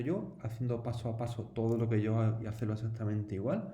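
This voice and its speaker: Somewhat breathy with a dark, mellow tone, a man speaks at a medium pitch and a moderate pace with audible room echo. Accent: Andalusian. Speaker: teacher. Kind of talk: tutorial. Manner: casual, conversational with fillers.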